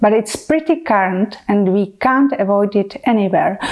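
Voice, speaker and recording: A woman with a Czech accent, fairly high pitch, lively intonation and a fairly slow pace. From Czech Republic. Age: 40s. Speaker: medical educator. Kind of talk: educational talk to camera. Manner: enthusiastic.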